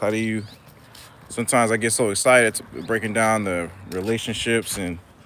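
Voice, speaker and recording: Amid noticeable background noise, a man with a medium pitch speaks at a fairly quick pace. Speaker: therapist and YouTuber reading live chat. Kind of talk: casual live-stream chat while walking. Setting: outdoors at a park. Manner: fast.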